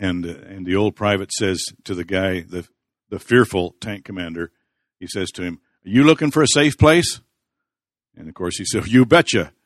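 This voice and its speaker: In a very clean recording with a silent background and a dry, close sound with no echo, a man with an American accent and a normal speaking voice talks at a moderate pace in a fairly low pitch with lively intonation. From US Pacific Northwest, central Washington. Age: 60s. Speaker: pastor, guest speaker at men's Bible study. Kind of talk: sermon. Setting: live audience of men.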